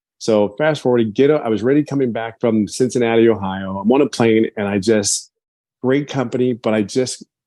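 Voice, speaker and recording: A man's dark, mellow voice at a fairly quick pace. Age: 50s. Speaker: business testimonial speaker. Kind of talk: testimony.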